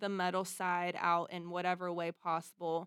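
A woman talks at a moderate pace with an American accent. Her pitch sits in the middle, an ordinary speaking voice. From US, Pittsburgh, Pennsylvania. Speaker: singer-songwriter and keyboard player. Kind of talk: casual interview chat.

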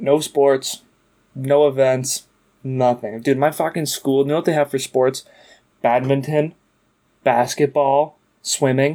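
A man with a fairly high pitch and a dark, mellow tone speaks fairly slowly in a flat monotone, leaving long, frequent pauses. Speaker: podcast co-host. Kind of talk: casual chat. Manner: casual, profane.

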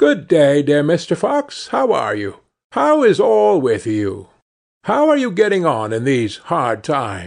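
Over a quiet background, a man with an unremarkable speaking voice talks at a fairly slow pace in a fairly high pitch. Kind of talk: fairy-tale narration. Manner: calm, storyteller pacing with character voices.

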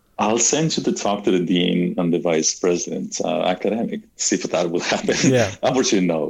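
With an Argentine accent, a man speaks at a fairly quick pace in a fairly low pitch, his intonation lively and his loudness very even, over noticeable background noise. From Argentina. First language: Spanish. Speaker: cosmologist and university professor. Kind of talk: interview.

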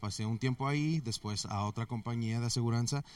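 A normal speaking voice moves at a moderate pace with ordinary pitch variation. The recording is very clean, the background silent. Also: man. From US, Mexican family from Guadalajara. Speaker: IT consultant. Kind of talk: interview. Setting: conference venue.

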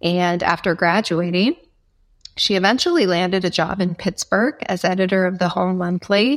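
In a plain, everyday voice of medium pitch, a woman speaks at a moderate pace with fairly even intonation and very even loudness, the sound dry and close with no echo on a very clean recording with a silent background. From Nebraska. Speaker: foundation executive director. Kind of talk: interview.

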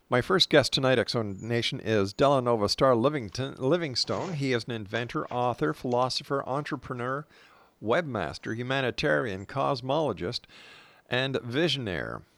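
A man with a Canadian accent and an unremarkable speaking voice, medium pitch, ordinary pitch variation and moderate pace, in a very clean recording with a silent background. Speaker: radio host. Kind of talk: radio interview. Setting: radio studio.

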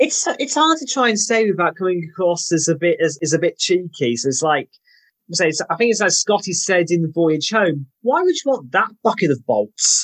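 A man with a British accent and a high pitch, lively intonation, moderate pace and very even loudness, in a dry, close sound with no echo against a quiet background. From UK. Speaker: podcast guest. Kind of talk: casual chat.

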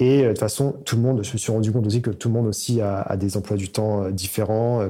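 A man with a dark, mellow tone speaks at a very fast pace with fairly even intonation. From France, Paris region (Seine-et-Marne). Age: 30s. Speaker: software engineer and startup founder. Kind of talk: interview.

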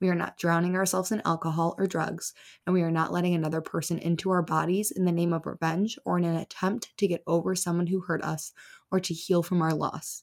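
A woman's unremarkable speaking voice, fairly low-pitched and fairly quick, with fairly even intonation on a very clean recording with a silent background. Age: 20s. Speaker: podcast host and breakup advice creator. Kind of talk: solo advice monologue. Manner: casual, chatty.

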